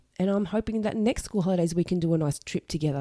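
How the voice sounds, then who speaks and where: A woman's voice with a dark, mellow tone moves through very wide pitch swings, recorded very cleanly against a silent background with a dry, close sound and no echo. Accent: Australian. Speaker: podcast host, single mother. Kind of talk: solo podcast monologue. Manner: casual, conversational.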